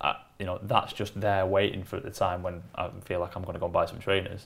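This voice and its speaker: Speaking very fast, the man has a fairly low-pitched voice. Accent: Lancashire. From northern England, Wigan. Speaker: creative agency operations director. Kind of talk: casual interview chat. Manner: hesitant with fillers and repetitions.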